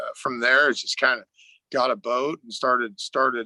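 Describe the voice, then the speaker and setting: A man with a bright, sharp tone and medium pitch speaks at a moderate pace, the sound dry and close with no echo. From Northern California. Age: 40s. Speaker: fishing guide. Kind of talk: podcast interview. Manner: halting, many fillers.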